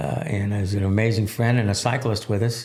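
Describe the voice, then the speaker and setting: Pitched at a medium level, a man talks in a somewhat breathy voice. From Texas (Laredo). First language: Spanish. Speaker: military veteran, nonprofit founder. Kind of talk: podcast interview. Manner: halting, many fillers.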